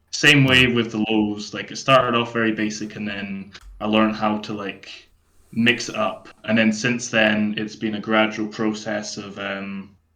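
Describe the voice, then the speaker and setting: A man speaks fairly slowly in a fairly low, flat monotone with a bright, sharp tone. Audible room echo surrounds the voice. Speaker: death metal vocalist. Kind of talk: podcast interview. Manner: hesitant, many fillers.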